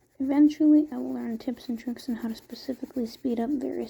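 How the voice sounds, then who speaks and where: Soft-spoken, the speaker talks at a fairly quick pace. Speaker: art content creator. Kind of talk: casual drawing commentary.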